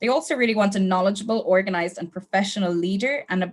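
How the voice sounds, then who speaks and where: A woman is speaking here. She has an Irish accent. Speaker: travel company sales manager. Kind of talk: webinar sales training. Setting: online webinar, camera off. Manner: casual, friendly with fillers.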